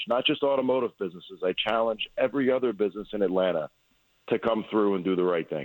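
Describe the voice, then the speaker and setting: In a Long Island accent, a man talks at a very fast pace. His pitch is fairly low, with ordinary variation. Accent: New York (Long Island). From Long Island, New York. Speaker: auto repair business owner. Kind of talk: radio interview.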